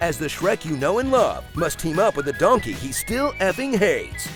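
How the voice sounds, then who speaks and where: A man talking at a moderate pace, with music in the background. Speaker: trailer voice narrator. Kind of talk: movie trailer parody narration with sarcastic humor. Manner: sarcastic, dry, mocking.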